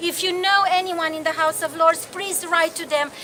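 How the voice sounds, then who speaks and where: A woman with a Romanian accent uses a raised, projected voice at an extremely high pitch. Noticeable background noise runs underneath. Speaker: activist and campaigner. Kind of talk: public speech at a rally. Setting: outdoor demonstration.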